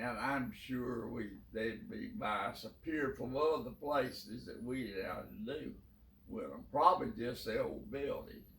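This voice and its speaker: Fairly slow talk in a Southern US accent over noticeable background noise. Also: man. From South Carolina. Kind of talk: interview answer.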